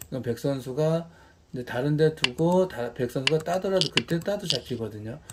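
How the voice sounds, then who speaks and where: A fairly quick pace carries the speech. Noticeable background noise sits beneath it. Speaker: go (baduk) teacher. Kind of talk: tutorial. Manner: fast.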